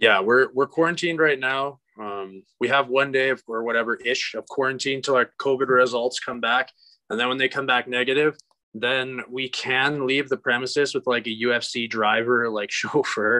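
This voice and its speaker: Against a quiet background, a man with a Canadian accent speaks in a bright, sharp tone with fairly even intonation. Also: medium pitch for a man, moderate pace. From Canada, Alberta (Bonnyville). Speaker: professional MMA fighter. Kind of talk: interview. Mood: relaxed, casual. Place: home room. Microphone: video call.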